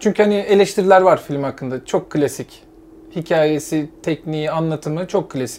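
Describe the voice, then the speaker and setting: This man has a plain, everyday voice, fairly high in pitch, with ordinary pitch variation at a moderate pace. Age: 30s. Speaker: podcast co-host. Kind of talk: casual chat.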